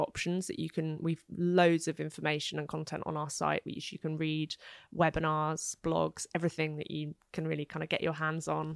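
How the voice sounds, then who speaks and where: Speaking at a moderate pace, a woman with a very deep, low pitch keeps a monotone, flat intonation while her loudness swings widely. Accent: British. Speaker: contraception platform founder. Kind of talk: casual interview chat.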